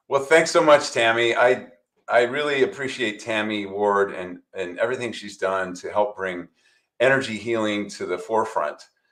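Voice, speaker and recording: An unremarkable speaking voice from a man, medium in pitch, at a moderate pace with lively intonation and big swings in loudness. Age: 60s. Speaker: chiropractor and energy healing teacher. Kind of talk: presentation.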